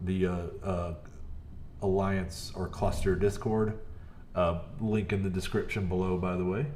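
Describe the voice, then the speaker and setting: There is noticeable background noise and audible room echo. A man with a fairly low pitch speaks at a moderate pace. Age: 40s. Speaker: gaming streamer. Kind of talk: live gameplay commentary. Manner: loud; animated.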